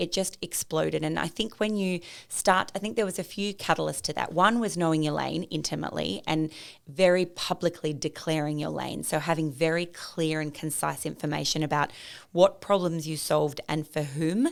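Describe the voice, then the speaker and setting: In an Australian accent, a woman speaks at a moderate pace in a very deep, low voice with vocal fry and an animated tone. Her pitch varies in an ordinary way, and the recording is very clean with a silent background. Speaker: e-commerce founder and business coach. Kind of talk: podcast interview. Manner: loud.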